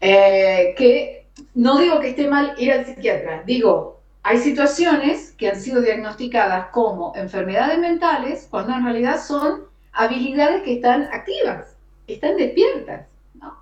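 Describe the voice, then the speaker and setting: Speaking in an Argentine accent, a woman with a high pitch and lively intonation talks at a fairly slow pace amid noticeable background noise. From Argentina. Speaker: radio announcer and host. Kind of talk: interview answer.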